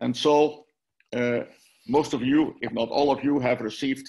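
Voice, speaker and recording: A man speaks with a Dutch accent at a moderate pace. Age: 70s. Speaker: minister and author. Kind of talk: lecture. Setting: video call.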